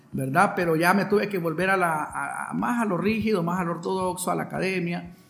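There is music in the background and audible room echo as a man speaks with ordinary pitch variation. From Honduras, San Pedro Sula. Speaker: violinist and composer. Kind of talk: interview. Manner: halting, with frequent repetitions.

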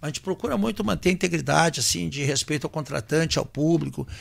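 A man speaks at a fairly quick pace in a fairly high pitch with vocal fry. The recording is very clean with a silent background. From Rio Grande do Sul, Brazil (Santa Cruz do Sul). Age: 50s. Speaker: singer and band leader. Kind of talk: casual chat.

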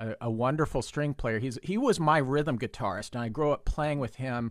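The recording is very clean, with a silent background. A man with an American accent and an ordinary speaking voice talks at a moderate pace and a medium pitch, with ordinary pitch variation. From Texas. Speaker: music professor and violist. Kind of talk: casual chat.

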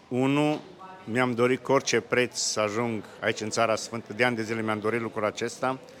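A man at medium pitch and a fairly quick pace, fairly even in intonation, with noticeable background noise. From Romania, Bistrița area. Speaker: pilgrim, church member. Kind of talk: interview. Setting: outdoors.

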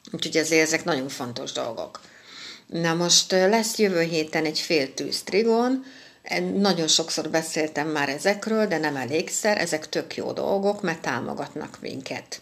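A woman has an ordinary speaking voice, fairly low in pitch. She talks at a fairly slow pace with lively intonation. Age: 50s. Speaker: astrologer. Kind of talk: weekly astrology forecast monologue.

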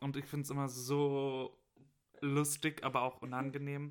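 A man with a bright, sharp tone speaks fairly slowly at a fairly high pitch. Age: 20s. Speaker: university student. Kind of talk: casual chat.

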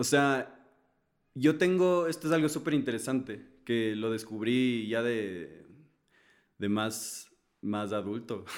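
A man's medium-pitched voice at a very slow pace, with lively intonation and long, frequent pauses. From Ecuador. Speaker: singer-songwriter. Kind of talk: casual chat. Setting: studio.

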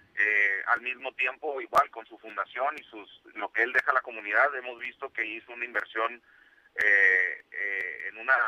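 A man with a bright, sharp tone and medium pitch speaks at a moderate pace with fairly even intonation and big swings in loudness, in a dry, close sound with no echo. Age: 30s. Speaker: business association coordinator. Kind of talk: radio interview. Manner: halting.

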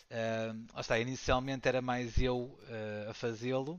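Medium in pitch, a man with an unremarkable speaking voice keeps a fairly even intonation. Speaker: board game designer and teacher. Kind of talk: casual interview.

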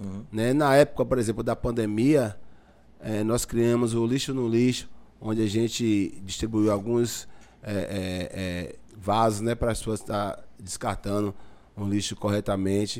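A man with a plain, everyday voice speaks at a fairly slow pace, his pitch fairly low and his intonation fairly even. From Bahia, Brazil (Lauro de Freitas). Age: 50s. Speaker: community leader. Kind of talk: casual chat.

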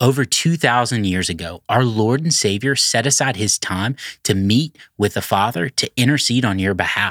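A man with a normal speaking voice talks at a moderate pace and medium pitch, his intonation lively. The recording is very clean, with a silent background and a dry, close sound with no echo. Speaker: pastor leading devotional. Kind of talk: devotional reading and prayer. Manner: earnest, fervent.

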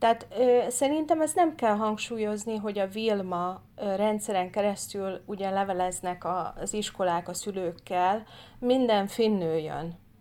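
With hardly any pauses, a woman speaks at a fairly slow pace in a dark, mellow tone, medium pitch and ordinary pitch variation, in a very clean recording with a silent background. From Hungary. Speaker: political candidate. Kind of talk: casual interview.

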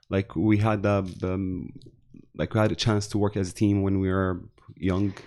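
A man talks at a moderate pace in a fairly low pitch. His tone is dark and mellow, with monotone, flat intonation. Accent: Arabic. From Syria, Damascus. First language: Arabic. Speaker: digital marketing consultant and trainer. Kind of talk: casual interview chat. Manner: halting.

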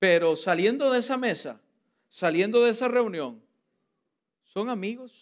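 In a very clean recording with a silent background, a man speaks with a high pitch at a fairly slow pace. His animated tone and lively intonation are broken up by long, frequent pauses. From Costa Rica. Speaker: pastor. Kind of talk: sermon. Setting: church.

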